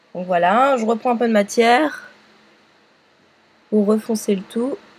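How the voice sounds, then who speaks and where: There is clearly audible noise behind this woman, whose voice is fairly high and shows a usual amount of pitch movement. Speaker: makeup tutorial youtuber. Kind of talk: tutorial. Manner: hesitant with many fillers.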